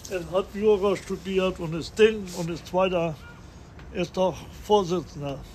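Speaking at a fairly slow pace with long, frequent pauses, a man uses a high voice. His intonation is fairly even, and background noise is noticeable. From North Frisia, northern Germany (Tönning). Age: 80s+. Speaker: restaurateur. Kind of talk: interview. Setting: on location on Sylt.

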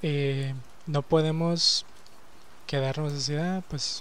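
With a Mexican accent, a man talks in a fairly high pitch and a monotone, flat intonation. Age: 20s. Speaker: podcaster. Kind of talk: casual monologue. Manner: halting.

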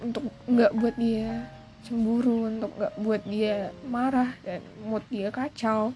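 This woman's voice sits fairly high. She talks at a very slow pace. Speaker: podcaster. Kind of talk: casual monologue. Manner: halting, many fillers; code-switching English and Indonesian.

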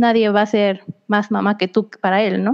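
A woman talks at a fairly slow pace in a plain, everyday voice. Her pitch is fairly high. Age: 20s. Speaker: young mother sharing parenting experience. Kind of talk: casual interview chat.

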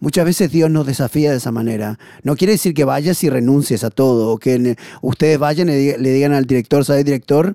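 A man with a fairly high pitch and a dark, mellow tone moves at a fairly quick pace with ordinary pitch variation, captured dry and close with no echo. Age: 40s. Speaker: missionary. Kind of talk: testimony.

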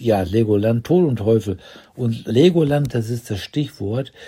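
On a very clean recording with a silent background, a man's dark, mellow, somewhat breathy voice carries ordinary pitch variation. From Ruhr area, Germany. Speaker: partner of the host. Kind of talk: casual chat. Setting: hotel room.

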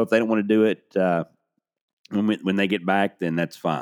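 With a Southern US accent, a man speaks at a fairly low pitch with fairly even intonation. The recording is very clean with a silent background, and the sound is dry and close with no echo. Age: 50s. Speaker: sports podcast host. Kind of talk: casual solo podcast monologue. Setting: studio. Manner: hesitant, many fillers.

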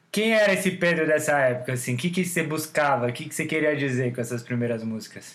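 Noticeable background noise sits behind a man talking at a very fast pace. He uses lively intonation and hardly any pauses. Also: fairly high pitch for a man. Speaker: podcast host and songwriter. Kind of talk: casual chat.

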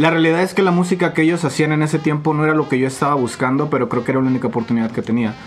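Music plays behind a man speaking with ordinary pitch variation. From Mexico, moved between many states. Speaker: rapper. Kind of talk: casual chat.

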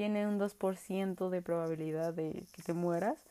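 This woman has a medium pitch. Her tone is dark and mellow. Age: 20s. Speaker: podcast host. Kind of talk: casual monologue. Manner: animated.

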